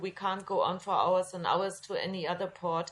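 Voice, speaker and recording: A woman at a moderate pace. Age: 60s. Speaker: refugee rescue group co-founder. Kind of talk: podcast interview. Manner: halting.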